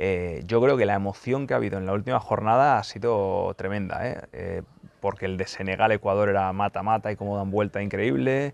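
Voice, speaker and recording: A man speaks at a fairly quick pace in a fairly low pitch. His pitch variation is ordinary, and the sound is dry with no echo. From Spain. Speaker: football YouTuber and journalist; football YouTuber, journalist. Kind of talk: casual Q&A video monologue. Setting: press centre lounge. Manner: fast.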